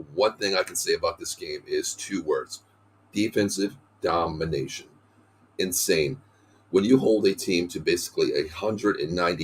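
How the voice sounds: At a moderate pace, a man speaks with a slightly husky edge.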